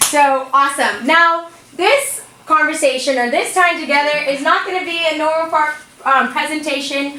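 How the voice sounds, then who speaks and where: The speaker uses a raised, projected voice at a moderate pace with ordinary pitch variation, over noticeable background noise and audible room echo. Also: woman. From Bahamas. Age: young. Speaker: motivational speaker. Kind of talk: motivational talk to students. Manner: animated.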